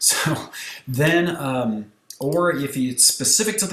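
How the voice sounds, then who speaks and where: With an ordinary speaking voice, a man speaks at a medium pitch with lively intonation. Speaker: photographer and software tutorial creator. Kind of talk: tutorial. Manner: casual, conversational.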